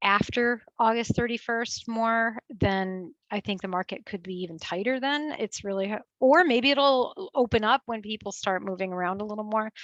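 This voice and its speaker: A woman with an unremarkable speaking voice talks at a medium pitch and moderate pace, the sound dry and close with no echo against a quiet background. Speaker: housing law speaker. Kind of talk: informational presentation.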